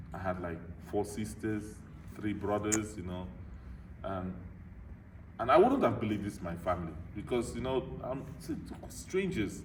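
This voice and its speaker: Speaking at a moderate pace with long, frequent pauses, a man with a fairly low pitch and ordinary pitch variation is heard with audible room echo. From Nigeria. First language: a Nigerian language (lost). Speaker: motivational speaker. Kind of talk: Q&A after a talk, personal story. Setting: club meeting with audience.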